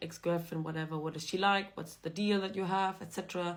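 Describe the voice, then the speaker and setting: On a very clean recording with a silent background, a woman with a German accent talks at a fairly quick pace. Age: young. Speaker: vlogger. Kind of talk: casual monologue to camera.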